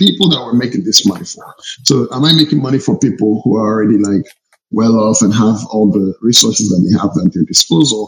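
Lively in intonation and somewhat breathy, a man talks at a fairly quick pace. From Nigeria (born in Togo). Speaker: startup founder and CEO. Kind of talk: casual interview conversation.

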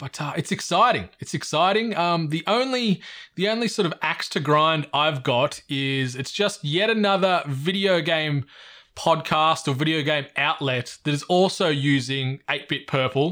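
A man with an Australian accent speaks at a fairly slow pace in a fairly high voice with a bright, sharp tone and lively intonation. The recording is very clean, with a silent background. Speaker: podcast host. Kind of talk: casual chat. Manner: animated.

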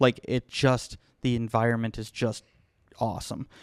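A man's unremarkable speaking voice at medium pitch and moderate pace, on a very clean recording with a silent background. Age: 30s. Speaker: music school manager. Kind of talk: casual chat.

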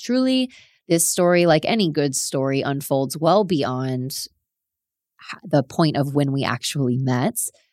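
A woman speaks at a fairly slow pace with a very deep, low pitch and ordinary pitch variation, captured in a very clean recording with a silent background. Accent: South Florida. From South Florida. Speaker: podcast host. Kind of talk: solo storytelling monologue.

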